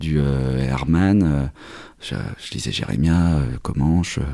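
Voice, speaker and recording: Over noticeable background noise, a man talks with a very deep, low pitch. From Normandy, France. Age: 30s. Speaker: comic book writer. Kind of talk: interview. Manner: halting.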